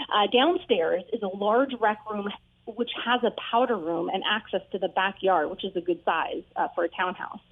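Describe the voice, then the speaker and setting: Noticeable background noise sits behind a woman speaking in a medium pitch with ordinary pitch variation. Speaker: realtor. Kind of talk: casual chat. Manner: fast.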